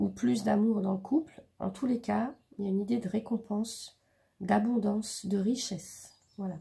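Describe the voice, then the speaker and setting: A woman speaks in a dark, mellow tone with vocal fry. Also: medium pitch for a woman, ordinary pitch variation, moderate pace. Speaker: tarot reader. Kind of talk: tarot reading. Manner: halting, many fillers.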